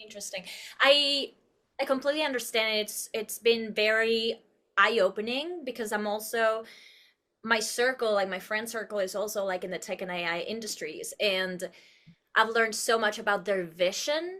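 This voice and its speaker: A woman with a Spanish accent speaks at a moderate pace in a fairly high, bright, sharp voice. The recording is very clean, with a silent background. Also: ordinary pitch variation. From Uruguay. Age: 30s. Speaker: actress and producer. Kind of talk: podcast interview. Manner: animated, expressive.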